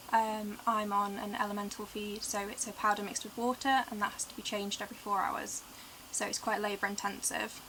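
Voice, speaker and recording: A woman speaks at a fairly quick pace in a monotone, flat intonation, with noticeable background noise behind her. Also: medium pitch for a woman. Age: 20s. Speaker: tube-fed patient vlogger. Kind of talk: casual vlog talk to camera.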